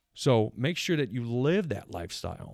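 A man with a medium pitch and a normal speaking voice talks with lively intonation in a very clean recording with a silent background. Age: 30s. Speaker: podcast host and strength coach. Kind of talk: casual monologue.

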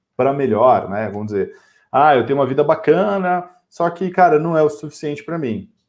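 Against a quiet background, a man talks at a fairly quick pace. His voice sits fairly high and his intonation is lively. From São Paulo, Brazil. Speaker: podcast co-host. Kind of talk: casual chat. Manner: animated.

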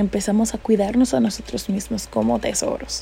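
With noticeable background noise, a woman talks at a fairly slow pace. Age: 20s. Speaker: podcast host. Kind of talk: reflective monologue.

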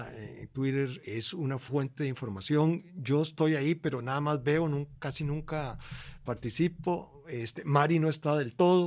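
This man has a normal speaking voice, fairly high in pitch, with ordinary pitch variation and a fairly slow pace. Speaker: podcast co-host. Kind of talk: casual chat.

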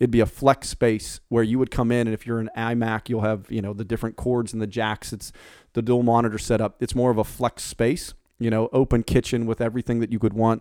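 A man with an American accent speaks at a fairly quick pace in a dark, mellow tone at medium pitch. His intonation is monotone and flat, and the recording is very clean with a silent background. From Pittsburgh, Pennsylvania. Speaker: real estate broker. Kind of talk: casual interview. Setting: podcast studio. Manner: hesitant with fillers.

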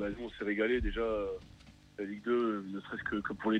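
This man's voice sits at a fairly low pitch, with monotone, flat intonation. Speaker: supporter group chant leader. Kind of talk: casual radio interview. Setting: phone call.

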